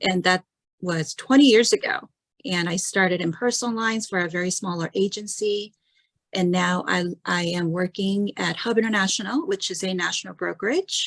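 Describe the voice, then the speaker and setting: A woman with a medium pitch speaks at a moderate pace, with ordinary pitch variation. The sound is dry and close, with no echo. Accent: Korean. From South Korea. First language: Korean. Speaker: insurance client service director. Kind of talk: panel discussion.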